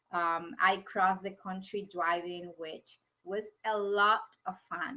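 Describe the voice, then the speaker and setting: A woman with a Venezuelan accent speaks at a medium pitch in a bright, sharp tone. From Venezuela (Caracas, Valencia). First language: Spanish. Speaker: business coach. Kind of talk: webinar presentation. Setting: live video webinar. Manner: slow, with pauses to find words.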